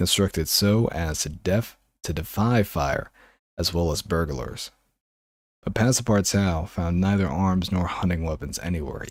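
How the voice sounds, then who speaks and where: A man speaks at a moderate pace in a very deep, low voice with ordinary pitch variation and a soothing, calm tone. The recording is very clean, with a silent background. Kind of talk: audiobook reading.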